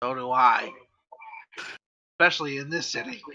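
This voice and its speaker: The speaker uses a put-on character voice with a raspy sound. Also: man, fairly high pitch for a man, moderate pace. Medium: actual play. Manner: stern, officious.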